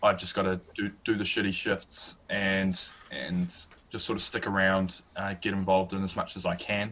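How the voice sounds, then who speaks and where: A man's fairly low voice in a bright, sharp tone, with monotone, flat intonation. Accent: New Zealand. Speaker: student sports journalist and podcast host. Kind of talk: interview, casual chat. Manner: slow, careful; hesitant, many fillers.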